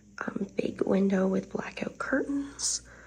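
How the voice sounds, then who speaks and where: Clear background noise accompanies a woman while she talks. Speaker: vlogger and nurse. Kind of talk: casual vlog talk. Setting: hotel room.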